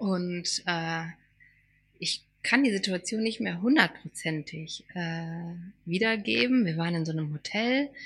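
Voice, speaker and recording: On a very clean recording with a silent background, a woman with a fairly low pitch talks at a fairly slow pace, with lively intonation and long, frequent pauses. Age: 40s. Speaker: podcast co-host, former teacher. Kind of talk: casual chat.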